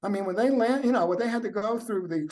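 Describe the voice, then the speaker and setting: This man speaks with an American accent at a high pitch. His pitch variation is ordinary. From New Jersey, US. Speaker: author, son of Holocaust survivors. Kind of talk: podcast interview. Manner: halting.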